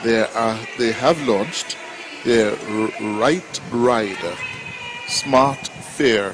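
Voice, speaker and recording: A man of medium pitch at a very slow pace, with noticeable background noise. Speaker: radio talk show host. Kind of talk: live radio outside broadcast intro.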